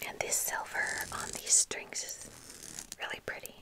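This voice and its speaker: The speaker is whispering and soft-spoken. Noticeable background noise runs underneath. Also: woman, fairly slow pace. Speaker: ASMR creator. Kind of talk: soft-spoken show-and-tell chat. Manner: soft, close-mic ASMR whisper. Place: home room. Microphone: studio mic.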